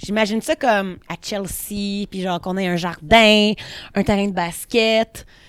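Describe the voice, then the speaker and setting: An ordinary speaking voice from a woman at medium pitch, fairly slow pace and fairly even intonation, in a very clean recording with a silent background. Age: 30s. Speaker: painter and studio owner. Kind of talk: casual chat. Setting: art studio.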